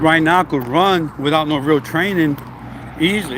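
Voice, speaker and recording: A man speaks at a fairly high pitch. Noticeable background noise runs underneath. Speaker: fitness vlogger, former trucker. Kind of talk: casual vlog while walking and running outdoors.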